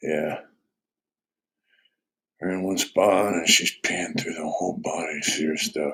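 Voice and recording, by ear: Speaking at a fairly slow pace, the voice has a fairly bright tone, a slightly husky edge and fairly even intonation. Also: man, extremely low pitch for a man.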